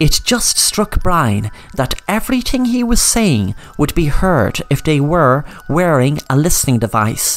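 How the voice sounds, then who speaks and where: The delivery is dramatic and fairly slow, set against noticeable background noise. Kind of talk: scripted narration, noir crime storytelling. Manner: dramatic, suspenseful storyteller; shifts into a taunting villain voice for dialogue.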